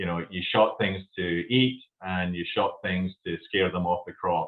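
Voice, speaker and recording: A man's very deep, low voice in a Scottish accent, fairly slow in pace with fairly even intonation. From Scotland. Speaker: company founder. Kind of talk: casual interview. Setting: video podcast. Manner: halting.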